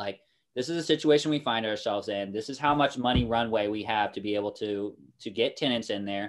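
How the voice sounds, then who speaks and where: A man with an American accent talks at a very fast pace against a quiet background. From US Midwest, Kansas City. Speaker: naval officer and real estate investor. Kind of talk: interview. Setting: remote call. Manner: animated.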